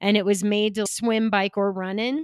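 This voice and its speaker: A woman with a plain, everyday voice speaks at a fairly slow pace and a medium pitch. It is a very clean recording with a silent background and a dry, close sound with no echo. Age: 40s. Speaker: former pro triathlete and entrepreneur. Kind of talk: interview.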